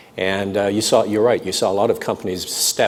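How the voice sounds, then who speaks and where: A man speaks at a very fast pace with monotone, flat intonation. Noticeable background noise is present. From North London, then Canada as a child. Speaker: business executive. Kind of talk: interview. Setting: live stream before audience at business school.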